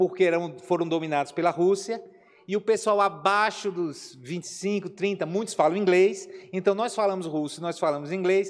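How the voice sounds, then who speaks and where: With a northeastern Brazilian accent, a man speaks in an animated tone at a high pitch. His pitch variation is ordinary. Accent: Aracaju (northeastern Brazilian). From Brazil, Aracaju (Sergipe). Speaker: missionary pastor. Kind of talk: Q&A talk in Sunday school class. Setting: church classroom.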